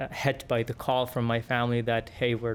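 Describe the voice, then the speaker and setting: In an Arabic accent, a man speaks at a medium pitch with monotone, flat intonation. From Yemen. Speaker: engineer. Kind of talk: podcast interview. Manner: halting, many fillers and repeats.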